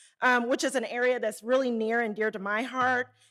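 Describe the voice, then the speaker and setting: The recording is very clean and the background silent. Words come at a fairly quick pace. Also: woman. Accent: Southern. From Arkansas, small town. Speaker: Federal Reserve community development researcher. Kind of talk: conference presentation. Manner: casual, hesitant.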